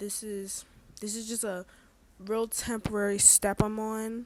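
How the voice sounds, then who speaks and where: Quiet speech in a monotone, flat intonation, captured in a very clean recording with a silent background. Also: woman. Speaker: vlogger. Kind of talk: casual chat. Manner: quiet, subdued; halting, hesitant.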